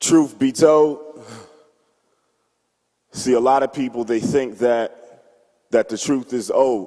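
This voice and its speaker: A man's medium-pitched, passionate voice, at a very slow pace with long, frequent pauses and fairly even intonation. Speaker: church member performing spoken word. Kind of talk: spoken word poetry performance at church. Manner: passionate, rhythmic.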